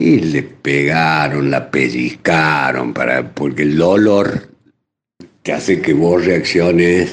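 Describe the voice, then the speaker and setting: A man's very deep, low voice with vocal fry. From Argentina, Córdoba. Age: 60s. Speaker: psychiatrist. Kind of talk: radio interview.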